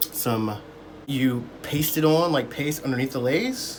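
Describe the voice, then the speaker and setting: A man's pitch moves in an ordinary way. Audible room echo and noticeable background noise come through around him. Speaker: beauty tutorial vlogger. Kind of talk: tutorial. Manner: halting, stammering; casual.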